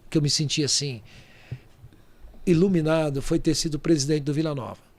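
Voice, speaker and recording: With audible room echo, a man speaks fairly quickly in a fairly high pitch and fairly even intonation. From Brazil, Goiás. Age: 60s. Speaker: real estate entrepreneur. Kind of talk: podcast interview.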